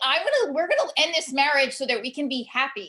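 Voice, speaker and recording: The tone is animated, with very wide pitch swings. The pace is fairly quick. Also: woman. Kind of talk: interview podcast. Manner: animated, many fillers.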